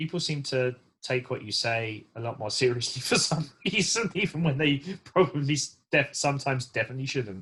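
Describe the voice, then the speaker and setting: This man has an English accent and a medium pitch. He talks at a fairly quick pace with lively intonation. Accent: English accent, often mistaken for Australian. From England, south London. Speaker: race engineer and drifter. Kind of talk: casual chat. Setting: podcast.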